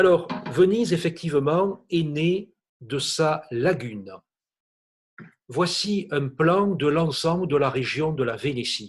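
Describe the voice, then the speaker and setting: A man in a southern French accent speaks very slowly in a fairly high voice, with long, frequent pauses. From southern France. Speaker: art historian. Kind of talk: illustrated lecture. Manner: hesitant with frequent fillers; enthusiastic.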